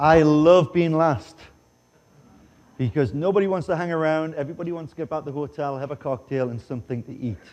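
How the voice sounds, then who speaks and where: A man speaks with a Geordie accent in a dark, mellow tone. The background is quiet. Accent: English (Geordie), noticeable. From northeast England, Newcastle upon Tyne. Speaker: chef. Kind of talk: conference presentation and cooking demo. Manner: jokey, casual.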